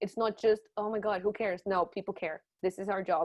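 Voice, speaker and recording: A woman's medium-pitched voice with a non-native accent at a moderate pace. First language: not English. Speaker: journalism trainer. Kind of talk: webinar lecture. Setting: online webinar. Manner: casual, lively.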